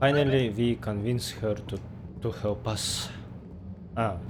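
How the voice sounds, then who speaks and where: A man speaks at a very slow pace with a fairly low pitch. His intonation stays fairly even, and audible room echo surrounds him. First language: not English. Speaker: gameplay streamer. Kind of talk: let's play commentary.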